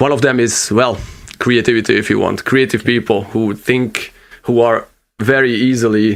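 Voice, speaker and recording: A man speaks with vocal fry. His intonation stays fairly even. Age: 30s. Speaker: podcast host. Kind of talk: casual chat. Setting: home studio in bedroom. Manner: halting.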